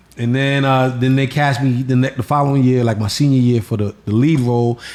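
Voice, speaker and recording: A man with an American accent, a medium pitch, flat monotone intonation, very even loudness and a fairly quick pace. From New York City (Bronx, Queens). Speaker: comedian. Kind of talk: casual chat.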